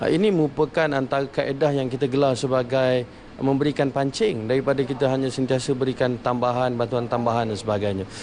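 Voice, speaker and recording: A man at a medium pitch, fairly quick pace and hardly any pauses, with ordinary pitch variation and noticeable background noise. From Malaysia, Kuala Lumpur. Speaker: youth delegate. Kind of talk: interview. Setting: on location at parliament.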